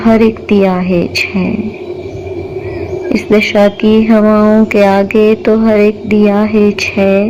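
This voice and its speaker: A woman's voice over noticeable background noise. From Pakistan. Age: young. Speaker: poet. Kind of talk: poetry reading.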